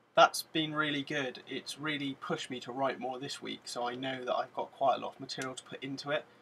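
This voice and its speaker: A man with a British accent speaks in a bright, sharp tone with monotone, flat intonation and hardly any pauses. Light background noise is present. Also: fairly quick pace. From UK. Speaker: vlogger. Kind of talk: casual vlog monologue to camera. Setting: in front of a camera, at home. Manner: monotone, mundane delivery; hesitant, many fillers. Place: home room. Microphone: webcam.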